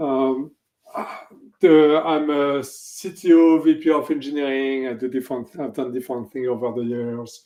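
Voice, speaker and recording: In a French accent, a man talks at a fairly slow pace with a fairly high pitch and fairly even intonation. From France. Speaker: technology executive. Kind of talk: interview.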